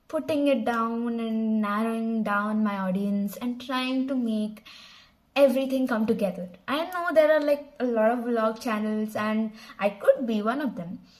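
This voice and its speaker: Speaking with a Telugu accent, a woman uses a fairly high pitch. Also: ordinary pitch variation, moderate pace. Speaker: channel founder and vlogger. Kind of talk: casual vlog introduction. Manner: casual with fillers and restarts.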